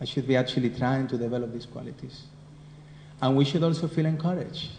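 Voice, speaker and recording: In a Spanish accent, the speaker talks at a fairly quick pace with a dark, mellow, somewhat breathy tone. Audible room echo is present. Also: man. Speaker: spiritual teacher. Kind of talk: scripture class. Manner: conversational.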